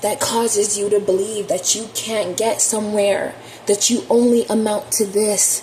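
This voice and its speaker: A shaky voice speaks at a moderate pace over noticeable background noise. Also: woman. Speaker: tarot reader. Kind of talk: spiritual monologue to camera. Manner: impassioned.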